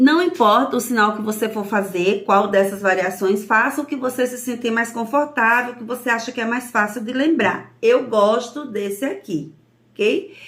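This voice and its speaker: With a northeastern Brazilian accent, a woman talks at a moderate pace with hardly any pauses, her fairly high pitch showing ordinary variation. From Brazil, Northeast. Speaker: sign language teacher. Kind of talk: lesson.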